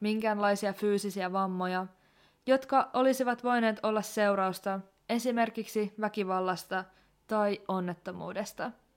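A woman's normal speaking voice at a fairly high pitch and fairly slow pace, on a very clean recording with a silent background. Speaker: podcast host. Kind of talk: true-crime narration, scripted-sounding. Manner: serious, measured; somber, grave tone, deliberate pace.

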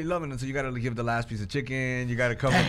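Audible room echo and noticeable background noise surround the voice. A man speaks at a medium pitch. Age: 40s. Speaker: podcast host. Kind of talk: casual faith discussion.

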